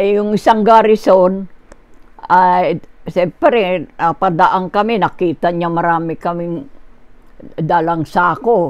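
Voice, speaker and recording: A woman speaks at a very slow pace, her medium-pitched voice moving with ordinary pitch variation. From Philippines. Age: 80s+. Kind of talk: interview answer.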